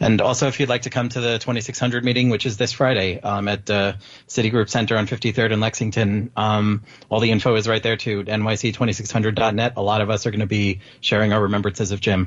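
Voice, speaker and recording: Fairly low and somewhat breathy, a man's voice runs at a fairly quick pace in a flat monotone with very even loudness. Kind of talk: casual chat.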